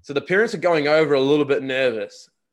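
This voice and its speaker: A man with a New Zealand accent and ordinary pitch variation, on a very clean recording with a silent background. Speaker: podcast host and college recruiting agent. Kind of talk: casual interview.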